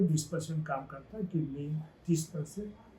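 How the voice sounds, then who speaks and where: Fairly even intonation from a man, his voice fairly high yet dark and mellow in tone. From Uttar Pradesh, India. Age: 80s+. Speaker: devotee sharing experience. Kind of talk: testimony.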